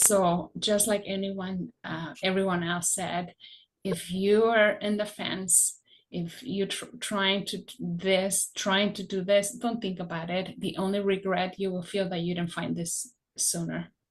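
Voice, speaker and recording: A woman's somewhat breathy, medium-pitched voice, with fairly even intonation and a fairly slow pace. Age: 60s. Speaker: product customer giving a testimonial. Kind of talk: testimony.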